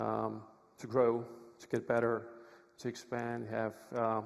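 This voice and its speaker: A man is speaking. He has a Czech accent. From Czech Republic. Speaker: lawyer, conference speaker. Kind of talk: conference talk. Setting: stage with audience.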